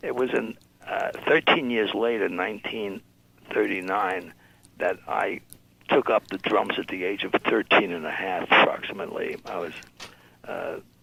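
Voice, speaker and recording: Over noticeable background noise, a man with an American accent talks at a moderate pace with long, frequent pauses. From New York City. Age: 80s+. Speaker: music label founder and drummer. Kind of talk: interview. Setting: radio show. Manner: halting.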